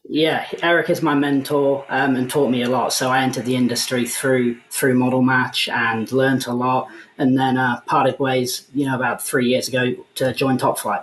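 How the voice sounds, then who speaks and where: Noticeable background noise runs under the recording. A man speaks with monotone, flat intonation. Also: medium pitch for a man, moderate pace, very even loudness. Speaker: mortgage business executive. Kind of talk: interview.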